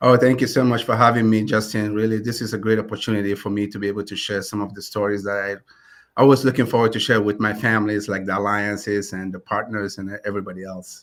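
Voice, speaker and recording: On a very clean recording with a silent background, a man talks very fast in a flat monotone with a Ghanaian accent, his loudness swinging widely. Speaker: community lender CEO. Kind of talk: interview.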